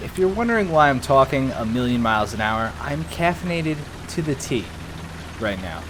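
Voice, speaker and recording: The speech has lively intonation, heard over noticeable background noise. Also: man. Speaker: gaming YouTuber. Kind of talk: gameplay commentary. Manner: fast.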